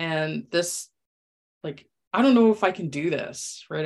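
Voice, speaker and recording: Using a plain, everyday voice, a woman speaks at a fairly slow pace with a medium pitch. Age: 40s. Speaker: former nurse turned health coach. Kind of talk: casual chat.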